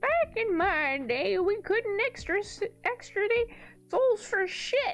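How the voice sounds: A put-on character voice, female-sounding, extremely high-pitched for a woman, at a fairly slow pace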